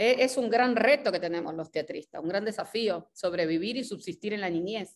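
A woman talks at a moderate pace with hardly any pauses. Her intonation is lively. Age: 40s. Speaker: actress and theatre director; actress. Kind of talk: interview conversation. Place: home room. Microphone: video call.

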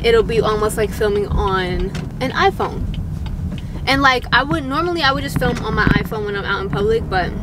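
A woman speaks at a fairly quick pace in a dry sound with no echo, over noticeable background noise. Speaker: vlogger. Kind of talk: casual vlog chat. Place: car.

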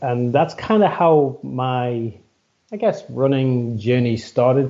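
Over a quiet background, a man with a British accent speaks in a medium pitch with ordinary pitch variation. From UK. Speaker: running and strength coach. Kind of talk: casual interview conversation. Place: home room. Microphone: headset.

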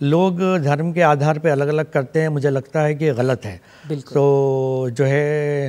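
A man speaks slowly-ish, at a fairly slow pace, with a dark, mellow tone. His pitch sits fairly high, and his intonation stays fairly even. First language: Urdu (speaking Hindi). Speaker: poet and writer, Hindi lecturer; poet, Hindi lecturer. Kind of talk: TV interview. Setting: studio. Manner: formal. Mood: calm, reflective. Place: studio. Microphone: lapel.

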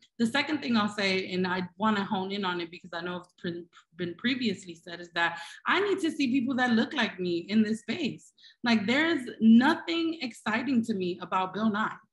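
A somewhat breathy woman with an American accent, fairly high pitch, very wide pitch swings, big swings in loudness and a moderate pace, against a quiet background. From Brooklyn, New York. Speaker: tech education nonprofit CEO. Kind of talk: panel discussion. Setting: video call. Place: home room. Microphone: video call.

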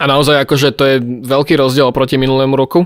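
The man's fairly high voice moves at a fairly quick pace against a quiet background. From Slovakia. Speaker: youtuber. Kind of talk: casual chat. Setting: video call. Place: home room. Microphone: studio mic.

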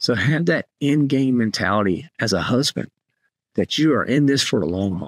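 A man talks with very wide swings in pitch against a quiet background, the sound dry with no echo. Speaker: podcast host. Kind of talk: podcast monologue, exhortation. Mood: earnest, encouraging. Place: home room. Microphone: studio mic.

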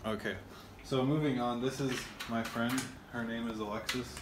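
Over clear background noise, a man talks at a moderate pace in a medium pitch, his intonation fairly even.

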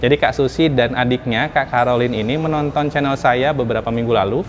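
With ordinary pitch variation, a man talks as light background noise plays behind him. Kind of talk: casual vlog intro. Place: shop. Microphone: lapel.

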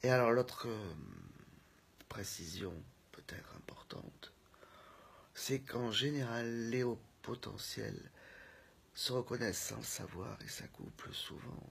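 A woman whispers at a very slow pace, leaving long, frequent pauses. Her loudness swings widely. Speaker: speaker. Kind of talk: casual reflective monologue. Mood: thoughtful, calm. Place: home room. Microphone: phone near.

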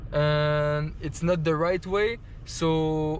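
A man's fairly even intonation, dry with no echo, under light background noise. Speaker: travel vlogger. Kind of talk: casual vlog chat.

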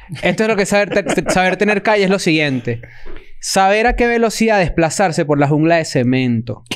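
Here a man talks in a high pitch with lively intonation and an animated tone. His pace is fairly quick and his loudness very even. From Venezuela, Caracas. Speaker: podcast co-host. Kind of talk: casual chat. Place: studio. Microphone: studio mic.

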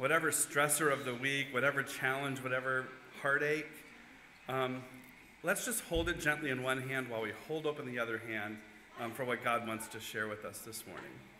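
Over light background noise and audible room echo, a man talks at a fairly quick pace with ordinary pitch variation. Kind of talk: welcome announcement and prayer. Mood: warm, lightly humorous. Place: church. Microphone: podium.

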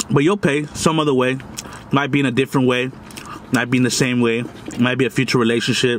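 A man talking at a very fast pace, very even in loudness, over light background noise. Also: fairly even intonation. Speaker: food vlogger. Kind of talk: casual vlog chat. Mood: earnest, lecturing about bullying. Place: car. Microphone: phone near.

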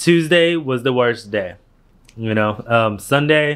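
Speaking at a fairly slow pace, the man uses ordinary pitch variation. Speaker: vlogger. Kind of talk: casual vlog chat. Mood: animated storytelling about illness. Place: home room. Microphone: phone near.

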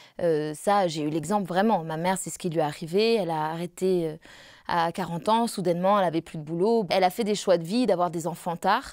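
Against a quiet background, a woman talks in a fairly low pitch with ordinary pitch variation and a dry sound with no echo. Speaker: opera singer; interviewee. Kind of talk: interview. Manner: halting. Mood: calm, reflective. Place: home room.

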